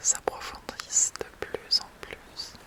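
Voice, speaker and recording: Noticeable background noise accompanies a woman who is whispering. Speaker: hypnotherapist. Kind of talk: guided hypnosis session. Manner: slow.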